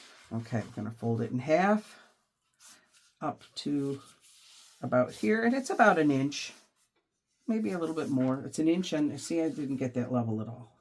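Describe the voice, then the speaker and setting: A woman's very deep, low voice at a moderate pace, with very wide pitch swings and long, frequent pauses. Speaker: junk journal crafter. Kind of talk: craft tutorial talk to camera.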